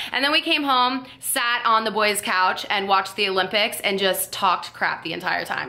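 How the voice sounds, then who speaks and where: With lively intonation, a woman speaks at a fairly quick pace. Hers is a plain, everyday voice. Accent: American. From South Florida. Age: 20s. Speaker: YouTube vlogger. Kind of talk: casual talk to camera.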